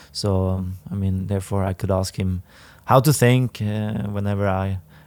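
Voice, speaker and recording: A man with a Swedish accent talks at a moderate pace with fairly even intonation. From northern Sweden, Härnösand. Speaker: professional footballer. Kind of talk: podcast interview. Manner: halting.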